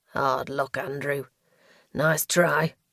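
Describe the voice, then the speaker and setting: Put on as a character voice, the sound sits at a low-to-middle pitch and is raspy and hissing. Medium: read story.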